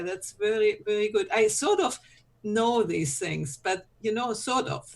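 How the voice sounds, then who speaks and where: A woman at a medium pitch, talking at a fairly slow pace. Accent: non-native. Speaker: solopreneur, conference speaker. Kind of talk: casual group chat.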